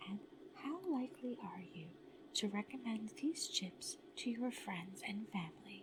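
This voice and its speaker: The tone is calm and the pace fairly slow. Noticeable background noise runs underneath. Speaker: ASMR content creator playing a product-testing researcher. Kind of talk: ASMR role-play survey questions, soft spoken personal attention. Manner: soft-spoken, slow, calm.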